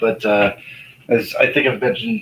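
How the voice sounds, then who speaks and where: A man with an American accent, medium in pitch, at a fairly slow pace with fairly even intonation. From Connecticut. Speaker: vlogger. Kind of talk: casual chat.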